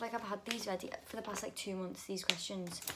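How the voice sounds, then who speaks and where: A woman at a fairly quick pace with fairly even intonation, over noticeable background noise. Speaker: vlogger. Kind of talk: casual Q&A vlog.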